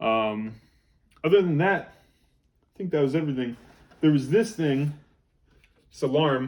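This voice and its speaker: The speech moves at a moderate pace. Long, frequent pauses break it up. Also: man. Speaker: thru-hiker. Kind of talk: casual talk to camera. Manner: hesitant, stumbling.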